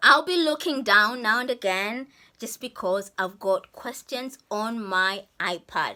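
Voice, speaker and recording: A woman speaks fairly slowly at a fairly high pitch. Her tone is bright and sharp, her intonation lively. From Zambia. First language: Kaonde. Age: 50s. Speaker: YouTuber. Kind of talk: casual chat. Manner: animated.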